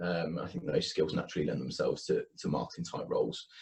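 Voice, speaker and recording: In a Birmingham accent, a man speaks at a very fast pace. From Birmingham, England. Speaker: university marketing manager. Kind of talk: interview.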